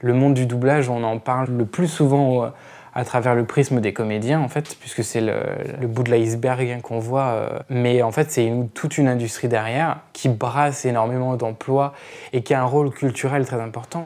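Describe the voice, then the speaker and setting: A man's medium-pitched voice, dark and mellow in tone, at a moderate pace with fairly even intonation. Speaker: dubbing writer. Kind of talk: interview.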